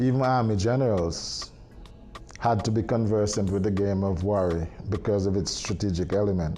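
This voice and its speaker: Music plays in the background while a man speaks with very even loudness. Audible room echo surrounds his voice. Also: fairly low pitch for a man, ordinary pitch variation, moderate pace. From Antigua (Liberta village). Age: 60s. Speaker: board game master. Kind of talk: interview testimony.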